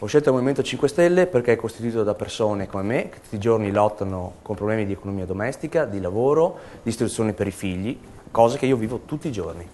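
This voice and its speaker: A man speaks very fast at a medium pitch, his intonation lively. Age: 30s. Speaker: political candidate. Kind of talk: campaign statement to camera. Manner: hesitant, with filler sounds.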